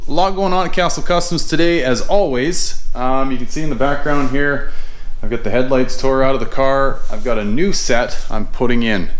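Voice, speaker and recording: A man speaks at a moderate pace with ordinary pitch variation and very even loudness. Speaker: car hobbyist channel host. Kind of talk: tutorial. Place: garage. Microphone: phone near.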